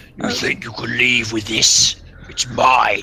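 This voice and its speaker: Growling in a put-on character voice, a man speaks fairly slowly at a medium pitch. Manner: menacing, possessive.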